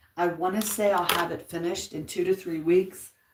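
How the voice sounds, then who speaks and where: A soft-spoken woman talks at a fairly low pitch. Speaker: YouTube livestreamer, crafter. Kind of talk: casual live chat. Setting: at home, upstairs.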